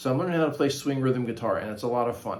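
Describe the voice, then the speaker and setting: A man speaks at a very fast pace and a medium pitch. The recording carries audible room echo and noticeable background noise. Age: 60s. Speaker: guitar teacher and channel host. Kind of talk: tutorial. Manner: casual, hesitant with many fillers.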